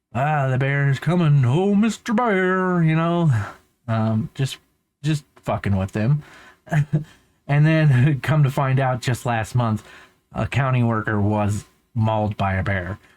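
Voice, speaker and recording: Very slow delivery with lively intonation and long, frequent pauses. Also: man, medium pitch for a man. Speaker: van life vlogger. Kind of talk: casual vlog commentary. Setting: recorded voiceover in post. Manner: casual, rambling.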